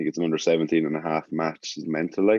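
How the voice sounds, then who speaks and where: In an Irish Midlands accent, a man speaks at a very fast pace. His voice is very deep and low. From Ireland, Birr, County Offaly. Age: 20s. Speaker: rugby player. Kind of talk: casual chat.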